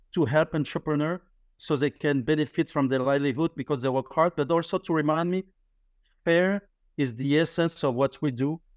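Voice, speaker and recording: In a French accent, a man with a fairly high pitch talks at a fairly quick pace with fairly even intonation and very even loudness, the sound dry and close with no echo on a very clean recording with a silent background. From France. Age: 50s. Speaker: business founder, credit card processing. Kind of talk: casual interview conversation. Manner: halting, with frequent repetitions and fillers.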